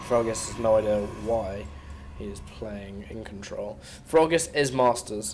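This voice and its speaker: Speaking with a British accent, a man uses a fairly low pitch, lively intonation and big swings in loudness. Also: fairly slow pace. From Britain. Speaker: esports commentator. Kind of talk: live game commentary.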